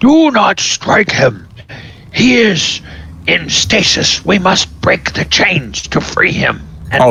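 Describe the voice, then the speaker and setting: A man puts on a character voice and speaks at a very slow pace. Clear background noise runs underneath. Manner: gruff, commanding.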